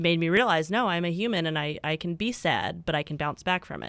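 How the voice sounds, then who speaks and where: A woman with a plain, everyday voice speaks at a moderate pace in a fairly low pitch with ordinary pitch variation, recorded very cleanly against a silent background. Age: 20s. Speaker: co-host, office worker. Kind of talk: casual chat. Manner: upbeat, laughing.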